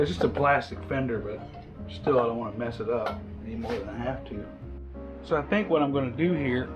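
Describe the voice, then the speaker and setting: A man's medium-pitched voice with lively intonation, fairly quick but broken by long, frequent pauses, over music in the background. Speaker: motorcycle hobbyist. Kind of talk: casual working commentary.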